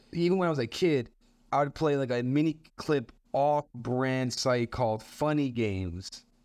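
Using a normal speaking voice, a man talks at a moderate pace and medium pitch, with ordinary pitch variation and very even loudness. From Canada, Montreal. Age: 20s. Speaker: stand-up comedian. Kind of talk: casual interview.

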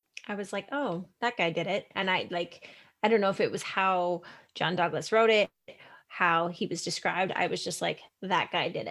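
A woman in a Canadian accent has a plain, everyday voice at medium pitch, moving at a moderate pace with fairly even intonation. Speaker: podcast host. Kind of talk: casual chat podcast. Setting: video call. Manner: laughing, casual.

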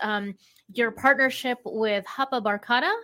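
A woman's fairly high, bright and sharp voice on a very clean recording with a silent background. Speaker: podcast host.

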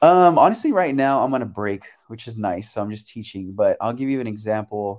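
With an American accent, the speaker talks at a fairly quick pace with lively intonation and big swings in loudness on a very clean recording with a silent background. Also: man, medium pitch for a man. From San Francisco Bay Area, California. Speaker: choreographer and dancer. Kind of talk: interview. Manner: casual, laughs often.

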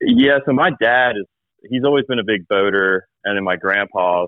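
A man speaks in a normal speaking voice with an American accent, fairly low in pitch. His pace is moderate and his pitch variation ordinary. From coastal South Carolina (North Myrtle Beach area). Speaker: fishing guide. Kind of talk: casual chat.

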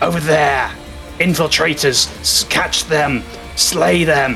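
A man's raspy put-on character voice, fairly high and very slow, with clear music in the background. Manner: hostile, commanding.

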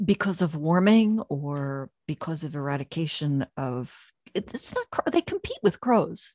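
With an American accent and a plain, everyday voice, a woman speaks at a fairly slow pace and fairly low pitch with lively intonation, in a dry, close recording with no echo. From US Northeast, Pennsylvania/New Jersey area. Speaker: podcast host, author and dog trainer. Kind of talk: casual interview chat.

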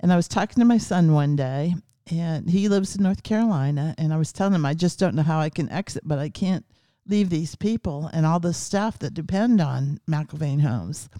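A dark, mellow voice in an American accent at a fairly quick pace, on a very clean recording with a silent background. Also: woman, fairly low pitch for a woman, ordinary pitch variation. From US Midwest (Ohio). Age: 70s. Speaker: care home founder. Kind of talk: casual interview.

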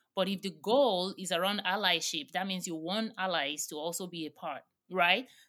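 At a moderate pace, the voice has a bright, sharp tone and ordinary pitch variation, on a very clean recording with a silent background. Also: woman, medium pitch for a woman. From Nigeria. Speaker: diversity and inclusion consultant, founder. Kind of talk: interview.

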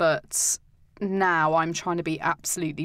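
A woman with a fairly low pitch has a plain, everyday voice. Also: very clean recording, silent background. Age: 30s. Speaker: cancer patient, civil servant. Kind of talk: casual chat. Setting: studio.

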